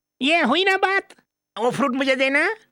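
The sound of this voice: Putting on a character voice, a man speaks with an extremely high pitch, a bright, sharp tone and lively intonation. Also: moderate pace.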